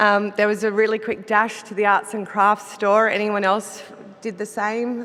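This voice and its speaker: Over noticeable background noise, a woman with an Australian accent speaks at a moderate pace and a medium pitch. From Australia, Melbourne. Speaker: business executive. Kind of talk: conference presentation. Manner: some hesitations and self-corrections.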